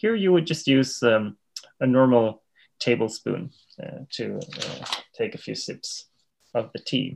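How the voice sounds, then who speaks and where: A man with a Swedish accent, medium-pitched, at a fairly slow pace, with lively intonation, big swings in loudness, and long, frequent pauses. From Sweden. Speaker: tea instructor. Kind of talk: interview.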